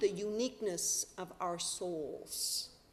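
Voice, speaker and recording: A woman speaks. Noticeable background noise can be heard. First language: sign language. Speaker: minister. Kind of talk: sermon. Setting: church.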